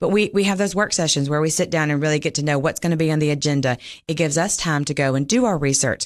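A woman with a very deep, low voice and a Southern US accent, very fast delivery, ordinary pitch variation, very even loudness and a quiet background. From Mississippi. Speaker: local politician and nurse practitioner. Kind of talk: interview.

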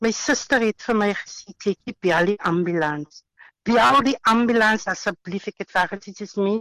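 A woman talks at a medium pitch with ordinary pitch variation. The background is quiet, and the sound is dry and close with no echo. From Western Cape, South Africa. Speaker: housewife sharing healing testimony. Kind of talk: interview testimony. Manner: halting.

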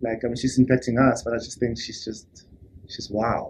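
There is some breathiness in this voice. Its tempo is neither fast nor slow. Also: man. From South Africa, Soweto. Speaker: singer. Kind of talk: interview.

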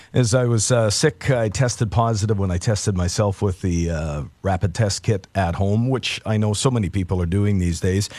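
Against a quiet background, a man with a Canadian accent and an unremarkable speaking voice talks at a moderate pace with hardly any pauses, a fairly low pitch and ordinary pitch variation. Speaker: radio host. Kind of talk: radio show patter, morning news-talk host chat. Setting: radio studio. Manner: relaxed, conversational, with frequent 'uh' fillers.

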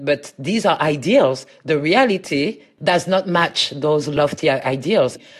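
A woman speaks with a French accent at a fairly slow pace. The background is quiet. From France, Paris. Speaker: academic. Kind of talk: interview.

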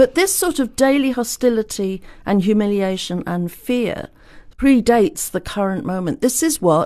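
The voice has a dark, mellow tone in an English accent, with very wide pitch swings. The background is quiet. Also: woman. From England. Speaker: author and historian. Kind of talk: interview.

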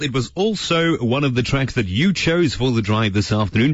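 A man speaks at a moderate pace with a somewhat breathy, medium-pitched voice and very wide pitch swings. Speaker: radio presenter and teacher. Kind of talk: radio show.

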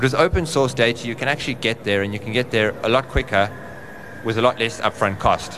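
Over noticeable background noise, a man talks at a very fast pace with medium pitch and ordinary pitch variation. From South Africa, Johannesburg. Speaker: conference speaker on insurance data. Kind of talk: conference presentation.

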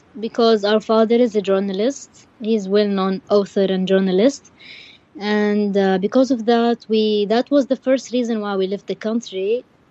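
Fairly even intonation carries a voice with a dark, mellow tone. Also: woman, dry, close sound with no echo. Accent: Arabic. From Yemen. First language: Arabic. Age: 20s. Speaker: refugee. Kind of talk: interview.

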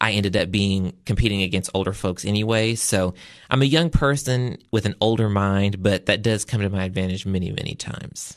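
A man with a Southern US accent speaks at a fairly quick pace in a fairly low pitch. His pitch varies in an ordinary way, and the background is quiet. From US South. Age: 20s. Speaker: agriculture advocate and event designer. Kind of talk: interview. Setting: studio.

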